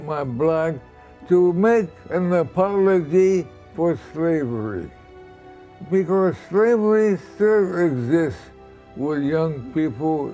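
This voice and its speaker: A man's high-pitched voice at a very slow pace, faint music in the background. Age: 80s+. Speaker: actor. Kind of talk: interview answer. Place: home room.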